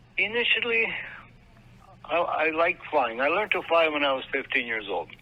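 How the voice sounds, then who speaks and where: With a Manitoba accent, this voice moves at a moderate pace and swings very widely in pitch over noticeable background noise. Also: man, high pitch for a man. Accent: Canadian, Manitoba. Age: 70s. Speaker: military veteran. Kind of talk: interview. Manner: halting.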